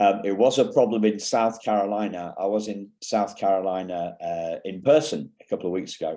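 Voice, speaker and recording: Against a quiet background, a man with a slight English accent speaks at a moderate pace with hardly any pauses, his fairly low voice dark and mellow in tone, with ordinary pitch variation. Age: 50s. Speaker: keynote speaker. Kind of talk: conference keynote talk. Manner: halting, many fillers.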